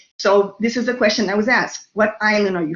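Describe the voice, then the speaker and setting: Speaking in a New York accent, a woman keeps a fairly quick pace, a medium pitch and fairly even intonation. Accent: New York Brooklyn. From New York City (Brooklyn). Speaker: lecturer. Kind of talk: lecture.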